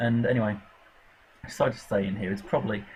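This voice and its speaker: A man with an English Midlands accent speaks at a fairly low pitch. His voice is somewhat breathy. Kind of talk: casual gameplay commentary. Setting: home recording with laptop fan noise. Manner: hesitant, stumbling over words.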